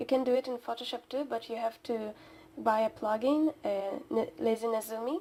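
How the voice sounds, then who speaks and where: Quietly and at a fairly slow pace, a woman speaks in a high pitch with a dark, mellow tone and ordinary pitch variation. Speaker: digital artist. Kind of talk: speedpaint voiceover commentary. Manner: halting.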